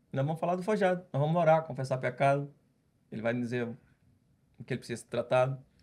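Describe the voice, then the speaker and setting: This man's voice sits at medium pitch. The recording is very clean and the background silent. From Brazil, Ceará (Northeast). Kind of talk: podcast interview testimony.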